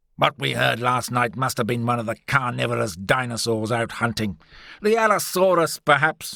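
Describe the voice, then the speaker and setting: A man uses a booming, put-on character voice at a medium pitch with lively intonation. His pace is moderate, and the sound is dry and close with no echo. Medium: read story. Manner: pompous.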